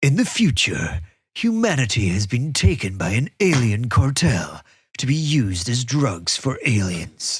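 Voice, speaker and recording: A man's put-on character voice at medium pitch, moderate pace, in a very clean recording with a silent background. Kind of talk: dramatic movie-trailer announcer. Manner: epic, dramatic narration.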